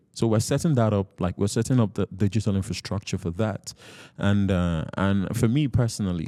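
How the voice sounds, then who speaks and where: A man talks at a moderate pace with a fairly low pitch and a dark, mellow tone. The recording is very clean and dry, close with no echo and a silent background. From Nigeria. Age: 20s. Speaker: chess coach and nonprofit founder. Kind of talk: interview.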